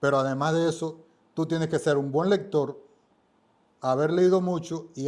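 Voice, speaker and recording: A man with an eastern Cuban accent speaks at a moderate pace in a fairly high pitch, his tone dark and mellow and his intonation fairly even. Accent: Cuban Spanish (eastern Cuba). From Cuba, Holguín. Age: 70s. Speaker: book editor and writer. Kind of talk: podcast interview.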